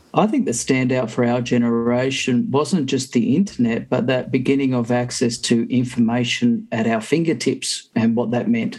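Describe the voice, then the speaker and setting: Here a man with an Australian accent speaks at a moderate pace. He keeps his intonation fairly even and hardly pauses. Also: medium pitch for a man, very even loudness. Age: 50s. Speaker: podcast panelist. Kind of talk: casual chat.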